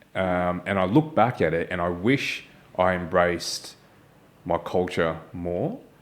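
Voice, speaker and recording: With an Australian accent, a man speaks fairly slowly in a very deep, low voice with ordinary pitch variation. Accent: Australian, Malaysian accent removed. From Australia, moved from Malaysia as child. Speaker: podcast host. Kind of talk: casual chat.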